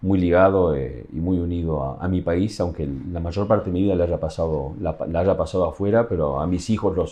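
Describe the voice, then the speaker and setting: In a Uruguayan accent, a man talks at a fairly quick pace with hardly any pauses, his very deep, low voice showing vocal fry. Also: ordinary pitch variation. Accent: Uruguayan Spanish accent kept. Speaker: tourism communications official. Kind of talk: interview. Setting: office at workplace. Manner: halting, many fillers.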